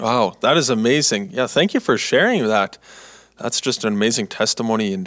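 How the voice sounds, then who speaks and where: A man with a Canadian accent, medium in pitch, at a fairly quick pace. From Canada. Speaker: student podcast host. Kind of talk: casual interview. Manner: halting.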